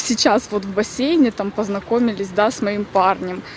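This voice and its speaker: A woman speaks at a fairly high pitch. The sound is dry with no echo, over light background noise. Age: 30s. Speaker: vlogger. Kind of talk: casual vlog. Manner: chatty. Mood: animated, a bit indignant. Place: forest. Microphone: phone near.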